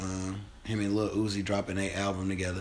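In a room with audible echo, a man with an American accent and a fairly low pitch speaks in a monotone, flat intonation. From Chicago. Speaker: podcast host. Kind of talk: casual chat.

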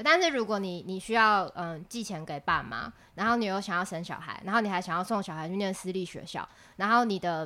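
This woman has a bright, sharp tone and a medium pitch, speaking at a fairly quick pace. Her pitch varies in an ordinary way, and the recording is very clean with a silent background. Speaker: podcast co-host, union secretary. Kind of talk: casual chat.

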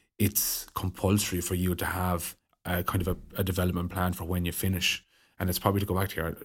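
In a Waterford accent, the speaker goes at a fairly quick pace with monotone, flat intonation, on a very clean recording with a silent background. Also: man. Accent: Waterford Irish. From Ireland, County Waterford. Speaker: hurler. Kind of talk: casual chat.

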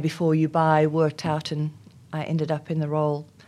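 A woman speaks in a South African accent with a very deep, low pitch. The recording is very clean, with a silent background. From South Africa, Afrikaans community. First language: Afrikaans. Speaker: HR executive. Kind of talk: interview. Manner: hesitant, many fillers.

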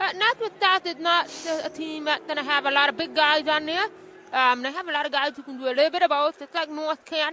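A woman's raised, projected, high voice at a very fast pace, with ordinary pitch variation. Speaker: basketball color commentator. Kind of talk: radio sports color commentary. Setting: radio broadcast booth at a gym. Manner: hesitant, filler-heavy.

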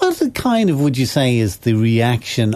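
Over a quiet background, a man with an Irish accent talks in a dark, mellow tone. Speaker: radio host. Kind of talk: casual chat.

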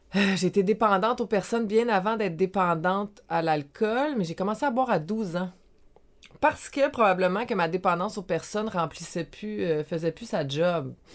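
On a very clean recording with a silent background, a woman speaks at a medium pitch. She has an ordinary speaking voice, with ordinary pitch variation and a moderate pace. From Quebec, Montreal South Shore. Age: 40s. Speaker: life coach. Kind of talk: casual interview.

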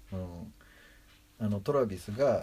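Lively in intonation, a man speaks with a fairly low pitch and a somewhat breathy voice. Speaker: film enthusiast co-host. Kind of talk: casual chat.

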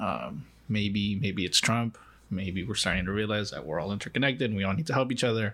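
A man with an American accent and a plain, everyday voice, fairly low in pitch, with lively intonation at a fairly quick pace, on a very clean recording with a silent background. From Mexico (Los Mochis, Sinaloa), raised in the US from age four. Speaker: immigration organizer and podcast co-host. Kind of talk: casual chat.

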